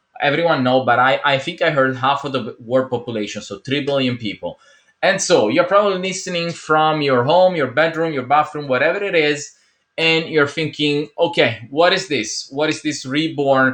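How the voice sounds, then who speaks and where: A man with an Italian accent, fairly high pitch, ordinary pitch variation and a moderate pace. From Italy. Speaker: entrepreneur video host. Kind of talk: motivational talk to camera.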